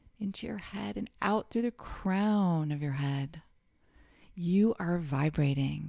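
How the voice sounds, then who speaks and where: A warm, calm tone at a very slow pace, on a very clean recording with a silent background. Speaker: meditation guide. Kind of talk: guided meditation, soothing second-person affirmations with counted breaths. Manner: slow, calm, soft-spoken, with gentle pauses; warm, encouraging, intimate.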